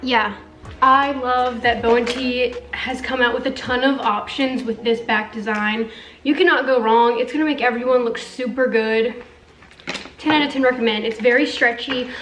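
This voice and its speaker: A woman's high-pitched, monotone, flat voice at a moderate pace, with audible room echo and noticeable background noise. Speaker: beauty and fashion youtuber. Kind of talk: try-on haul review. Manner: casual, filler-heavy.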